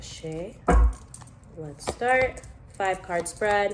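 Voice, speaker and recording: There is audible room echo as a woman talks very slowly. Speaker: tarot reader. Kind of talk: tarot reading vlog.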